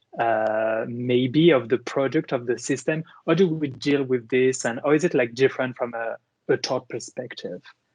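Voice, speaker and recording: In a French accent, a man speaks at a medium pitch and a moderate pace with ordinary pitch variation, in a dry, close sound with no echo. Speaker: moderator, law professor. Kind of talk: online panel discussion. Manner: halting, with many fillers.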